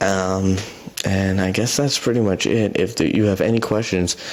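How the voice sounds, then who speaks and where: A man speaks with a very deep, low pitch and fairly even intonation. Noticeable background noise is present. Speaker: headphone reviewer. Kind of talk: product review. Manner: halting, many fillers; casual.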